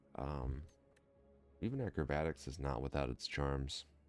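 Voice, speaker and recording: A man is speaking. Behind him, music plays in the background. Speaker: gaming let's play commentator. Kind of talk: casual gameplay commentary. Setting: home recording, mic not dialed in. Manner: smooth, sultry.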